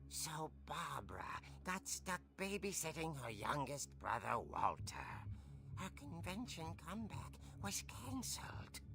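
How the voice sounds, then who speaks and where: A put-on character voice, low in pitch and at a fairly slow pace, over loud background noise. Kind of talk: horror comic narration. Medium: video game. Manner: dry, measured.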